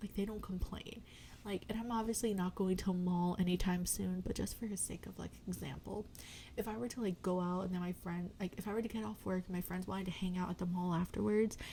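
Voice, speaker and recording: Soft-spoken and fairly quick, a woman talks at a medium pitch with ordinary pitch variation. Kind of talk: ASMR chatty catch-up ramble. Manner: rambling, casual.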